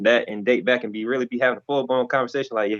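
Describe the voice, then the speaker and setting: The sound is dry and close, with no echo. A man speaks at a medium pitch with fairly even intonation. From Florida. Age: 20s. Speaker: rapper. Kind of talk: casual interview.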